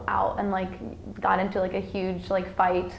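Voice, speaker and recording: A woman speaks at a moderate pace. There is audible echo from the room. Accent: American. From Iowa, US Midwest (Sioux City), with childhood time in Mexico. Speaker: college student. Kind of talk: interview. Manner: hesitant, many fillers.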